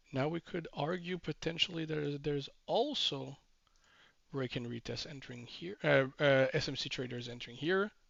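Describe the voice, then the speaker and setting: Fairly high male pitch with ordinary variation in a man's voice. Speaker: trading educator. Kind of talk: tutorial. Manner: slow, deliberate pace; hesitant with fillers.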